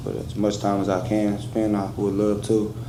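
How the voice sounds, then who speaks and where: A man's fairly low, monotone, flat voice at a moderate pace, with audible room echo. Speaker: defendant. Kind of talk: courtroom statement. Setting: courtroom. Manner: halting.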